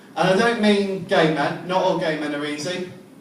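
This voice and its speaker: A high-pitched male voice with ordinary pitch variation, audible room echo and noticeable background noise. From England. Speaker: stand-up comedian. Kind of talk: stand-up. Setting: comedy club stage with audience. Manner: hesitant, many ums.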